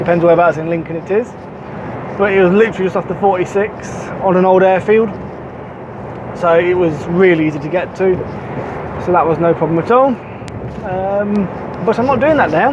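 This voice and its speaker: Long, frequent pauses break up a man's speech over noticeable background noise. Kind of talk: casual vlog chat. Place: car.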